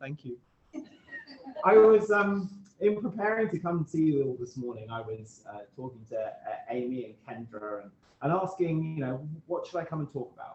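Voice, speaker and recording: A man with a British accent at a fairly quick pace, his intonation lively. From UK. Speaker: guest speaker, self-improvement author. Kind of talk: talk at a club meeting. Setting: meeting room with Zoom hybrid audience. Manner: halting, frequent repetitions.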